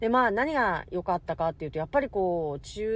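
A woman talks at a medium pitch. Her pace is fairly quick. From Hokkaido, Japan. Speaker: podcaster. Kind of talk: casual solo monologue.

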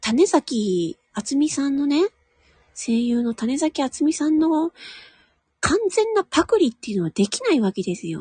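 A woman talks at a moderate pace and a high pitch. Her pitch swings very widely, and the sound is dry and close with no echo. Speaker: voice actor and audio streamer. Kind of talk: casual solo talk. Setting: at home in a room. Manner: quiet, low volume.

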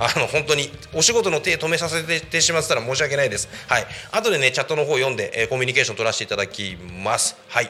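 Very fast, lively speech from a man with a fairly high pitch, against noticeable background noise. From Saitama, Japan (Koshigaya). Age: 30s. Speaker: community radio host, former police officer. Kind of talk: casual solo radio talk.

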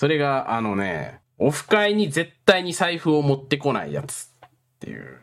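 The voice moves through big swings in loudness and very wide pitch swings. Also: man, fairly high pitch for a man, moderate pace. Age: 20s. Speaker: podcast host. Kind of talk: casual chat.

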